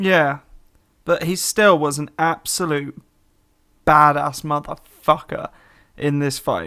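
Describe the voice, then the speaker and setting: A British accent marks the speech. The background is silent, and the recording very clean. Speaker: podcast co-host. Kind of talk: casual chat.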